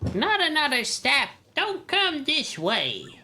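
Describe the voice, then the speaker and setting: A put-on character voice at a high pitch moves at a very slow pace over faint music in the background. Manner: indignant, scolding.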